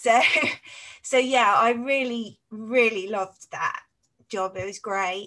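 At a very slow pace, a woman with a fairly high pitch and a bright, sharp tone speaks with fairly even intonation, big swings in loudness, and long, frequent pauses. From Cambridge, East England. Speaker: health and safety professional. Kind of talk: casual interview.

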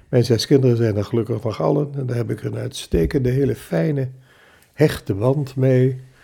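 A man speaks in a medium-pitched voice that is somewhat breathy. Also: ordinary pitch variation, moderate pace. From Zwolle, Netherlands. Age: 80s. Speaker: retired printing executive and church elder. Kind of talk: casual interview, recounting life story. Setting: home kitchen table with microphone.

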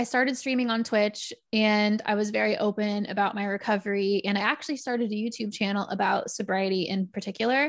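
Fairly quick and very even in loudness, a woman speaks in a Texan accent with fairly even intonation at a fairly high pitch. The recording is very clean, with a silent background. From Texas. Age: 30s. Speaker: podcaster in recovery. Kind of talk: casual interview.

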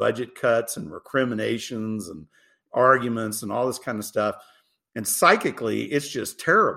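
A man's voice at medium pitch. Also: very clean recording, silent background. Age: 50s. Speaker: tech company CEO. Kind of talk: interview. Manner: animated.

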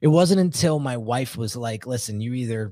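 A man with an ordinary speaking voice, medium pitch and ordinary pitch variation talks at a moderate pace on a very clean recording with a silent background, the sound dry and close with no echo. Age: 40s. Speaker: branding specialist. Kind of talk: interview. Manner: casual.

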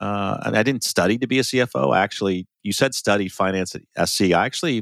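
In a dry, close recording with no echo and a silent, very clean background, a man speaks fairly quickly in a fairly low voice with vocal fry and ordinary pitch variation. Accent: American. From US Midwest, small-town Ohio. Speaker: finance executive and consultant. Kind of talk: interview.

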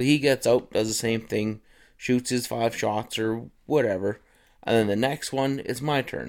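On a very clean recording with a silent background, a man with a western Canadian accent speaks at a moderate pace, his medium pitch showing ordinary variation. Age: 30s. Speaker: outdoors podcast host. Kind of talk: casual monologue. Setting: recording at his workplace. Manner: relaxed, frequent fillers.

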